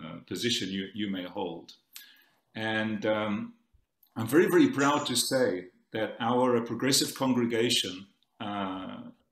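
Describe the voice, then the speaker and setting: A man with a South African accent talks at a fairly slow pace. His pitch is medium. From South Africa, Cape Town. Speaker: conference speaker. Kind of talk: conference talk. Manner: halting.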